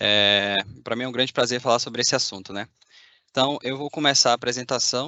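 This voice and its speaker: Very fast talking from a man, his intonation fairly even. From Bahia, Brazil. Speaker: machine learning engineer. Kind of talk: conference talk. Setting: video call from a factory.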